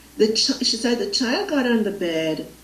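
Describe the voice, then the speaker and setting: Speaking at a fairly slow pace with a Jamaican accent, a woman with a fairly high pitch is heard over noticeable background noise and audible room echo. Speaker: spiritual facilitator. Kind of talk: interview. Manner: halting.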